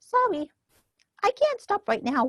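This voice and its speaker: A woman does a squeaky, put-on character voice at extremely high pitch. Her pitch swings very widely. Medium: read story. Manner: polite, eager.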